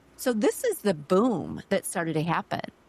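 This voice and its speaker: A woman at medium pitch is heard in a dry, close sound with no echo. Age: 50s. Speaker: podcast host. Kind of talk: interview conversation. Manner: animated.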